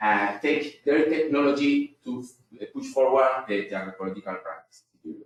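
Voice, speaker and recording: A man talks at a fairly quick pace and a medium pitch, with lively intonation and big swings in loudness. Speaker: researcher. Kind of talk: conference presentation. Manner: halting.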